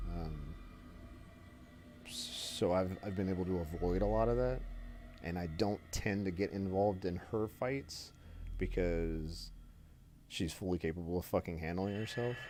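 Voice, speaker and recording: A man with a very deep, low voice and a dark, mellow tone speaks at a fairly slow pace with ordinary pitch variation. Long, frequent pauses break up his speech. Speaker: game streamer. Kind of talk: casual chat.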